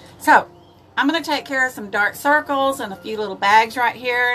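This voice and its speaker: A woman with a Texan accent at a fairly quick pace, with music in the background. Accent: Texan Southern US. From East Texas. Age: 70s. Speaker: makeup vlogger. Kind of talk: live makeup tutorial. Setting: livestream. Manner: casual, chatty.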